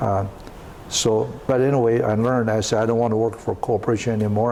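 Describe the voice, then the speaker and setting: Noticeable background noise sits behind a man speaking at a very fast pace. His medium-pitched voice stays monotone and flat. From China. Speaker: entrepreneur. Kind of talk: interview. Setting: at home. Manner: halting.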